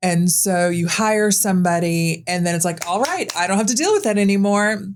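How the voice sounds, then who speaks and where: A woman of medium pitch speaks at a fairly quick pace with very even loudness, and audible room echo surrounds her voice. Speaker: podcast host. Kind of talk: casual chat. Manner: animated.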